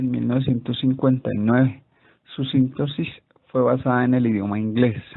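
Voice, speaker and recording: This man speaks at a moderate pace at a medium pitch. His intonation is monotone and flat. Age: 30s. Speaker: student. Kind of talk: class presentation.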